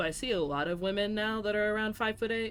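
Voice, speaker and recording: A woman is talking. Her pace is very fast. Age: 20s. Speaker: game streamer. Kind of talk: casual chat. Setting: livestream with headphones.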